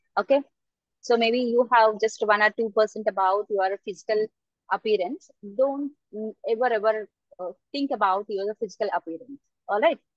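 In a quiet background with a dry sound and no echo, a woman speaks at a fairly high pitch and a moderate pace, with ordinary pitch variation and long, frequent pauses. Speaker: external examiner. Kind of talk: examiner feedback to student. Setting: video call. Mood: encouraging, advising. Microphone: video call.

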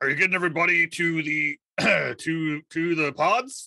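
A man speaks in a put-on, gruff character voice at a high pitch, with ordinary pitch variation, a moderate pace, and a dry, close sound with no echo.

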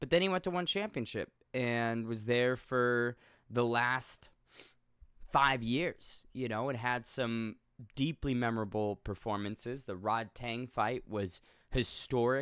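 Speaking at a fairly slow pace, a man uses a medium pitch with ordinary pitch variation. The background is quiet and the sound is dry with no echo. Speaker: MMA commentator on a video channel. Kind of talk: casual video commentary. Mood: earnest, respectful tribute. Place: home room. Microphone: studio mic.

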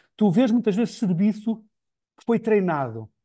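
A man's high-pitched voice in a dark, mellow tone, at a fairly quick pace with ordinary pitch variation, against a quiet background. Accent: European Portuguese. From Portugal. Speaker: podcast interviewer. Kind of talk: interview conversation. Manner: halting. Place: home room. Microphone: earbuds.

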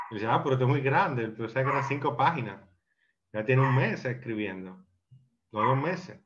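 Light background noise sits behind a man whose pitch varies in an ordinary way. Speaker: film discussion participant. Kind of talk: casual group discussion of a film. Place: home room. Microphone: video call.

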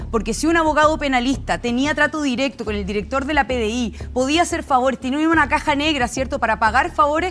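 Light background noise runs under a woman's voice. She speaks high-pitched at a fairly quick pace. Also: ordinary pitch variation. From Chile. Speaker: political panelist; panelist. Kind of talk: panel debate. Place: studio. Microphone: lapel.

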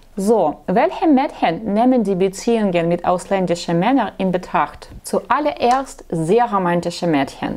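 A woman with a non-native accent speaks at a fairly slow pace, her pitch swinging very widely. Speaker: matchmaking agency blogger; dating advice host. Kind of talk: vlog monologue; talk to camera, advice monologue. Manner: halting, with filler sounds. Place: office. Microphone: lapel.

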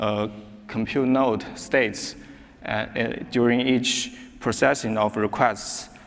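A man with a Chinese accent and fairly even intonation. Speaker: software engineer; conference presenter. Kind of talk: conference talk. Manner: halting. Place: hall.

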